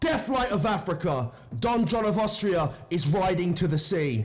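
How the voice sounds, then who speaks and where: Speaking with a southern English accent, a somewhat breathy man uses lively intonation at a moderate pace. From southern England. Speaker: poetry reader. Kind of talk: reading aloud.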